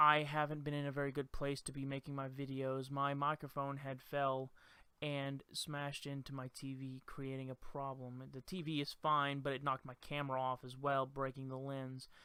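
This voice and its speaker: A man talks in a bright, sharp tone with monotone, flat intonation and hardly any pauses. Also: moderate pace. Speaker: student. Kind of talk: class presentation video. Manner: halting. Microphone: new microphone.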